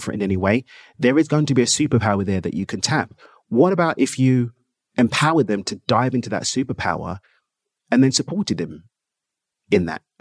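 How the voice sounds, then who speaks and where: A man's medium-pitched voice in a London accent, lively in intonation and fairly quick, with long, frequent pauses, in a very clean, dry, close recording with a silent background and no echo. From England. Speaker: entrepreneur. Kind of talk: interview.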